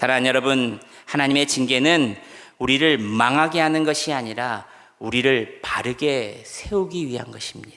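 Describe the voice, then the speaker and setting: A man speaks at medium pitch and a moderate pace with ordinary pitch variation. His tone is bright and sharp, and room echo is audible. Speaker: pastor. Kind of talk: sermon. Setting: church.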